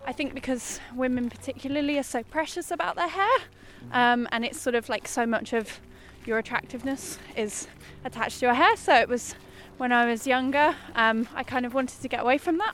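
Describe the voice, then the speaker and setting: A woman with an English accent talks at a fairly quick pace in a high pitch with ordinary pitch variation. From England, small town. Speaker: interviewee. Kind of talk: casual interview. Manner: hesitant, many fillers.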